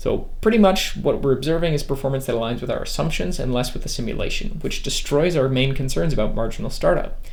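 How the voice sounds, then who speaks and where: A man at a very fast pace amid noticeable background noise and audible room echo. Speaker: electronics engineer YouTuber. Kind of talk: product review; tutorial. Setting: electronics lab.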